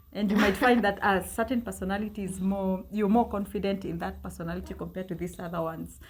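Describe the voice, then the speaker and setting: Noticeable background noise under a woman talking at a very fast pace. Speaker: French teacher, language learning guest. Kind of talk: casual interview advice.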